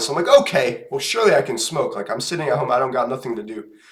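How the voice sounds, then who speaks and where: Very fast speech over noticeable background noise. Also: man. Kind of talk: casual storytelling to camera.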